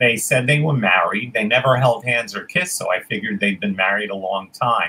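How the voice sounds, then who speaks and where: A man with an American accent speaks at a medium pitch. His tone is bright and sharp. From New York City (Queens); New York City. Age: 70s. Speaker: forager, tour guide; tour guide. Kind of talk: interview. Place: home room.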